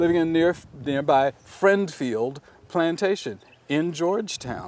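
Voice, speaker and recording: A man with an American accent talks at a fairly slow pace. His voice is high, with ordinary pitch variation. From South Carolina Lowcountry. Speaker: museum education executive. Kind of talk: interview answer. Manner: thoughtful, measured, with hesitations.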